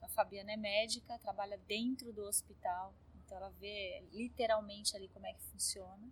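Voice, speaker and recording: A woman with a plain, everyday voice, medium pitch, fairly even intonation, big swings in loudness and a fairly quick pace. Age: 50s. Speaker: art curator and gallery owner. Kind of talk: interview.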